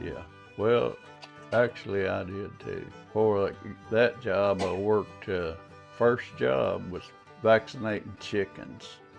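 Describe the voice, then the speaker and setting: Speaking very slowly with long, frequent pauses and big swings in loudness, a man with a Southern US accent talks in a fairly low pitch while music plays in the background. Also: ordinary pitch variation. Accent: Southern drawl. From Arkansas, southern US. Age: old. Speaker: carpenter. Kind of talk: interview answer.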